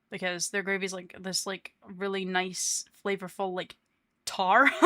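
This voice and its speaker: A woman with a Scottish accent speaks at a fairly slow pace and medium pitch, her intonation monotone and flat and her tone bright and sharp, on a very clean recording with a silent background. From Scotland. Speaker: VTuber streamer. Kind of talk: casual chat. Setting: live stream.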